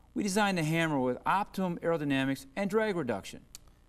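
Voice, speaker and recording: A man with a high pitch talks at a very fast pace with lively intonation over noticeable background noise. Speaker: golf long-drive champion. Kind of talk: infomercial interview answer. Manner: enthusiastic.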